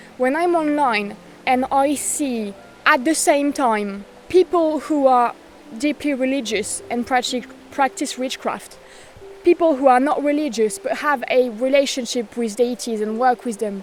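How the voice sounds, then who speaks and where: With a French accent, a woman speaks at a fairly slow pace in a high pitch with ordinary pitch variation while music plays in the background. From France. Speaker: witchcraft content creator. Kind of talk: casual talk to camera.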